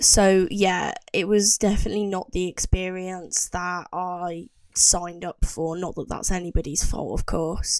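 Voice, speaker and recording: A woman with a British accent and a medium pitch talks at a fairly slow pace with hardly any pauses and a monotone, flat intonation, on a very clean recording with a silent background. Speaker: vlogger and trainee teacher. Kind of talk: casual vlog chat. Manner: halting with many fillers.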